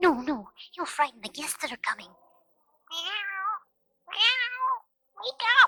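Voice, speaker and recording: A put-on character voice at an extremely high pitch, fairly slow, with long, frequent pauses. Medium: read story. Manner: soft, gentle, wondering.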